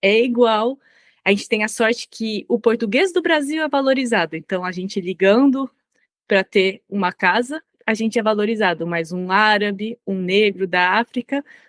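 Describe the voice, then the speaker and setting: A woman with an unremarkable speaking voice, medium pitch and ordinary pitch variation at a moderate pace, in a very clean recording with a silent background and a dry, close sound with no echo. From Brazil. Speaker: language policy consultant. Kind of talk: interview.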